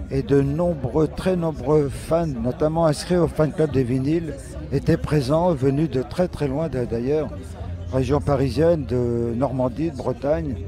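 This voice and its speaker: A man speaks very slowly at a medium pitch. Noticeable background noise runs under his voice. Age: 70s. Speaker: rock musician. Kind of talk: interview.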